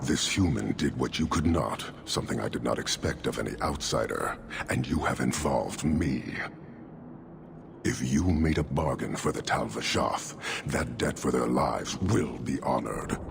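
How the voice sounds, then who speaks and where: Putting on a character voice, a man speaks at a moderate pace with a very deep, low pitch over clear background noise. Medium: machinima. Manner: cold, measured, formal.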